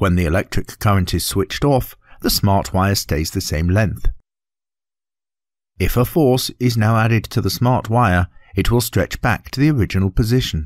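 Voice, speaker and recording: A man with a British accent speaks at a moderate pace in a fairly low pitch with ordinary pitch variation. The recording is very clean and dry, close with no echo, over a silent background. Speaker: voice artist. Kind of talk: educational narration.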